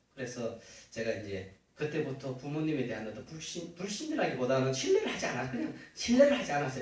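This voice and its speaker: A man with a Gyeongsang accent speaks with very wide pitch swings, and audible room echo surrounds him. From Uljin, Gyeongbuk, South Korea. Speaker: church elder. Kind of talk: testimony. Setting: church.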